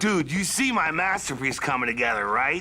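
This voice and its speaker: Over light background noise, a man uses a cartoonish character voice at a fairly high pitch and a moderate pace. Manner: relaxed, slangy.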